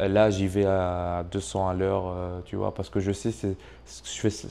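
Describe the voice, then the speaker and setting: A dark, mellow voice with a strong non-native accent, over a quiet background. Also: man. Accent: strong foreign accent in French. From Tunisia. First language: not French (speaking French). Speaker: YouTube entrepreneur, channel owner. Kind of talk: casual interview chat. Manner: hesitant, many fillers.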